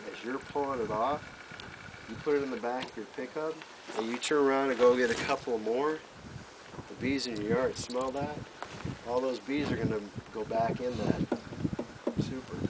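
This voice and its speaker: Noticeable background noise sits behind a man speaking at a medium pitch and a moderate pace. His intonation is fairly even, with long, frequent pauses. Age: 50s. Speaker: beekeeping instructor. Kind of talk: hands-on class demonstration. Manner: casual, conversational.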